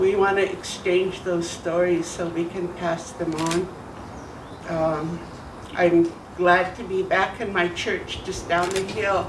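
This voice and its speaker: A woman with an American accent speaks at a very slow pace with a fairly low pitch and monotone, flat intonation. Audible room echo and noticeable background noise are present. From Idaho, Nez Perce reservation. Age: 70s. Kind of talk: welcome speech.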